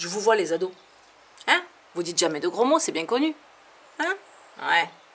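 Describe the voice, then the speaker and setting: A fairly high-pitched woman with a southern French accent, very wide pitch swings and a moderate pace, amid noticeable background noise. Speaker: comedian. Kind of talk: stand-up. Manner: animated.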